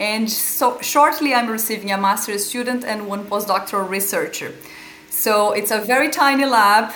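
Noticeable background noise sits behind a woman speaking with a Portuguese accent. Her pace is moderate and her pitch variation ordinary. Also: fairly high pitch for a woman. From Brazil. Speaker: epilepsy researcher and pharmacy lecturer. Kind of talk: interview. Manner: halting, with frequent repetitions.

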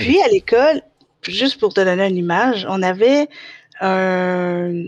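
Speaking with a Quebec accent, a woman uses lively intonation at a medium pitch and a fairly slow pace. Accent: Québécois French. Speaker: special education technician. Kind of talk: casual interview. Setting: live recorded podcast.

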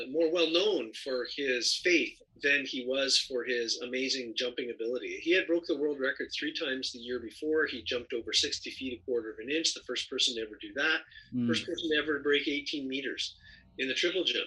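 A man's bright, sharp, fairly high voice with a Canadian accent at a fairly quick pace. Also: ordinary pitch variation. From Canada, northern Ontario. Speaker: philosophy lecturer and author. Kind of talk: casual interview.

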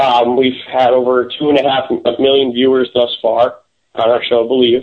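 A man with an American accent, medium pitch, a fairly quick pace and an ordinary speaking voice. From US Midwest, Chicago. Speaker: paranormal investigator. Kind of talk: interview on radio show.

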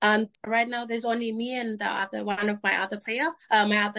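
A woman's fairly high voice at a moderate pace. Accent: Vanuatu. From Vanuatu, Tanna island. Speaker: cricket captain. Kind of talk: interview.

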